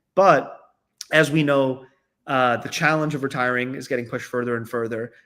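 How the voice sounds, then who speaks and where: A man talks at a moderate pace with ordinary pitch variation and a plain, everyday voice. The recording is very clean, with a silent background. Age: 30s. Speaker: company founder. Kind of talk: interview conversation.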